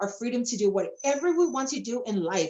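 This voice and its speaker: A woman speaks in a high pitch. Her tone is animated. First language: not English. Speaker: network marketing presenter. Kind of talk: sales presentation.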